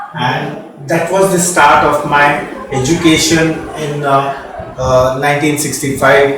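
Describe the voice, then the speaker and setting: A man with an Indian accent speaks in a fairly high voice with fairly even intonation. Noticeable background noise and audible room echo are present. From India, Mumbai. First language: Marathi. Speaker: radiologist, former dean. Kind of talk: interview. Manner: hesitant, many fillers.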